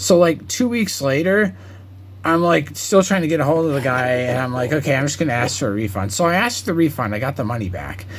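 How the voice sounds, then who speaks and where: Very fast speech from a man with a fairly high pitch and very wide pitch swings, over noticeable background noise. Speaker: card collector video creator. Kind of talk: casual collection showcase. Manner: casual, filler-heavy.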